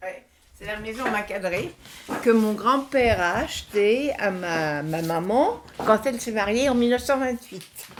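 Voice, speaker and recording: Over noticeable background noise, a woman with a fairly high pitch speaks at a very slow pace, her intonation lively and her loudness swinging widely. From France, rural Burgundy village then Paris. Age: 90s. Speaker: elderly woman telling her life story. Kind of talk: life story interview.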